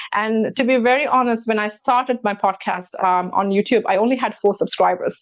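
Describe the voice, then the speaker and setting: Someone with a non-native accent talks at a fairly quick pace with ordinary pitch variation. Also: woman. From immigrant to Canada. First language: not English. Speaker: talk show host and real estate broker. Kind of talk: casual chat.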